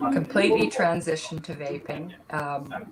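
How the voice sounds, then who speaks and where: A woman with a very deep, low pitch speaks at a fairly slow pace over noticeable background noise. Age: 60s. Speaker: vaping consumer advocate. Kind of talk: panel discussion.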